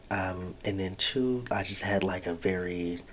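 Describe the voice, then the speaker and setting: A man speaks quietly in a very deep, low voice. His pace is fairly slow. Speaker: podcast host. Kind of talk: casual monologue. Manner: quiet, low voice.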